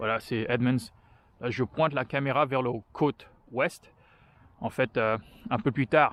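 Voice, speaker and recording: A man at medium pitch, very slow pace and fairly even intonation, in a dry, close sound with no echo. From France. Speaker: vlogger. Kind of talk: walking vlog monologue. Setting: outdoors, walking. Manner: halting, many hesitations.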